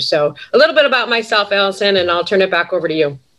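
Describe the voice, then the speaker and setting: A woman at medium pitch, speaking at a very fast pace with a Western New York accent. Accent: Western New York American. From Buffalo, New York. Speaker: sales executive and adjunct professor. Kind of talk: webinar panel talk.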